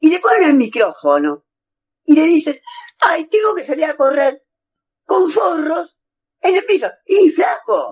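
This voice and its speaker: A man with a Buenos Aires accent, extremely high-pitched, with very wide pitch swings and a fairly slow pace. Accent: Rioplatense Spanish (Buenos Aires). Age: 50s. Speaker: radio host. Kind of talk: radio interview.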